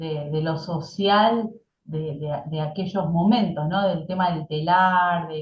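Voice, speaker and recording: A woman speaks at a very slow pace in a fairly low, somewhat breathy voice. Her pitch variation is ordinary. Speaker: interviewer, astrology channel host. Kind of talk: interview questions.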